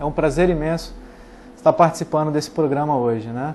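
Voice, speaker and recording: Using a normal speaking voice, the man talks with a fairly high pitch at a moderate pace. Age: 30s. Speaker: former mayoral candidate. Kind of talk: TV interview.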